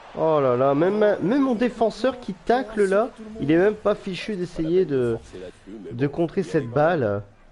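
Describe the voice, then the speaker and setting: Swinging very widely in pitch from a high base, a man speaks fairly slowly with long, frequent pauses amid noticeable background noise. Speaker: gaming YouTuber. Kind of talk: gameplay commentary. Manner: animated.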